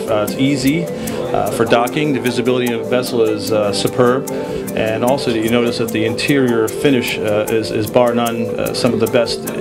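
Over loud music in the background, a man talks at a moderate pace. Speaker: yacht sales partner. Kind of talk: interview answer. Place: boat. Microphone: handheld.

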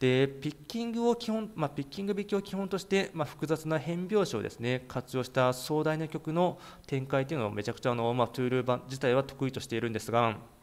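This man speaks at a fairly quick pace, his fairly high pitch making very wide swings. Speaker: YouTube music channel host. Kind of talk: informal video commentary. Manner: many filler words.

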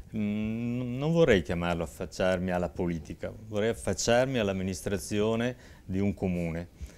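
In an ordinary speaking voice, a man talks at a moderate pace and fairly low pitch with lively intonation. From Verona, northern Italy; moved to Saronno at 20; northern Italy. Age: 60s. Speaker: mayoral candidate; candidate. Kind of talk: political talk show interview. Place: studio. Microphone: lapel.

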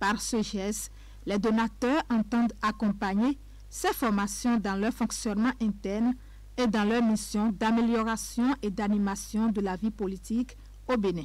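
A woman at a fairly slow pace with very even loudness. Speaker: TV news reporter. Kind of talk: news report narration.

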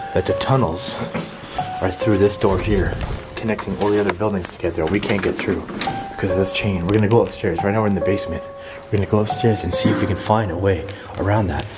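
At a very fast pace and with ordinary pitch variation, the speech runs over loud music in the background. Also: man. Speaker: urban explorer vlogger. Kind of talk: casual vlog chat. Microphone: phone near.

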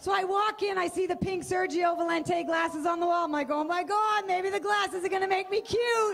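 Shouting at an extremely high pitch with very even loudness, a woman with an American accent speaks at a fairly quick pace over light background noise. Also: hardly any pauses. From Boston area, US Northeast. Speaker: stand-up comedian. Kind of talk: stand-up. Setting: stage with audience. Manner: animated. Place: stage. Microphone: handheld.

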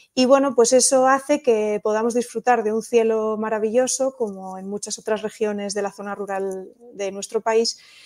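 A woman with an unremarkable speaking voice, fairly high in pitch, talks at a moderate pace with fairly even intonation and big swings in loudness. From Asturias, western (Allande). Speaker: astrophysicist and astrotourism entrepreneur. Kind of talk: interview conversation. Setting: live video podcast.

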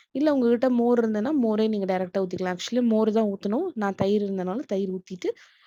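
Her tone dark and mellow, a woman speaks with lively intonation in a dry, close sound with no echo. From outside Tamil Nadu, India. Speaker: vlogger. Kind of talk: cooking tutorial and vlog narration. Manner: casual, conversational.

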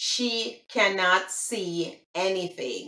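With a Jamaican accent, a woman speaks in a space with audible room echo. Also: quiet background. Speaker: language explainer. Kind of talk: casual talk to camera. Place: home room. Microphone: phone near.

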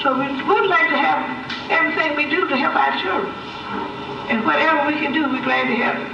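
Through audible room echo and noticeable background noise, a woman speaks with long, frequent pauses. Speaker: retired school worker. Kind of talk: public meeting remarks. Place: car.

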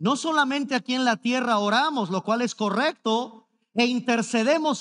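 A man speaks at an extremely high pitch in an animated, dramatic tone over a quiet background. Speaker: preacher. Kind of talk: sermon. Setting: church service streamed online. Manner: emphatic, pleading, repeating key words for effect; animated, mimicking objections with a dramatic sigh. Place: stage. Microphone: headset.

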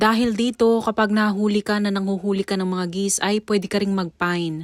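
This woman has an unremarkable speaking voice. Her pitch is fairly high, with ordinary variation. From Philippines, Taguig City. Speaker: vlogger and mother. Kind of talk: vlog narration.

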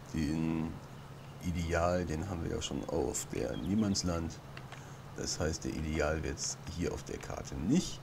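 A man speaks quietly at a very slow pace with very deep, low pitch, ordinary pitch variation and long, frequent pauses. Noticeable background noise and audible room echo surround him. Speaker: gaming YouTuber. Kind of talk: let's play commentary. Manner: hesitant.

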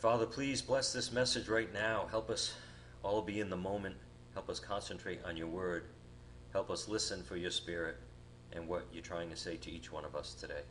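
With light background noise, a man speaks at a fairly low pitch with vocal fry and lively intonation. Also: moderate pace. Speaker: guest preacher. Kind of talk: sermon. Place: church.

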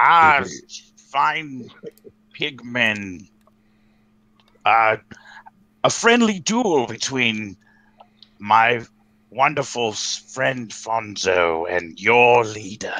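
A man puts on a character voice at medium pitch, talking at a very slow pace with long, frequent pauses. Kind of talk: tabletop in-character speech. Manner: courtly, overly formal.

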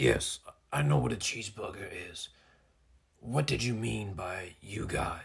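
In a put-on character voice, a raspy man with a fairly low pitch talks at a moderate pace, his pitch swinging very widely between long, frequent pauses. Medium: cartoon. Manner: commanding, formal.

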